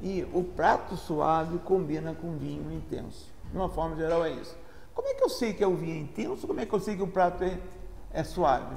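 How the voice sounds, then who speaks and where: Here a man talks at a fairly quick pace in a Rio de Janeiro accent. Audible room echo surrounds his voice. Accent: carioca. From Brazil, Rio de Janeiro. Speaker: engineer and sommelier student. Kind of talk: informal talk on wine. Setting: restaurant. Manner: halting, frequent self-corrections.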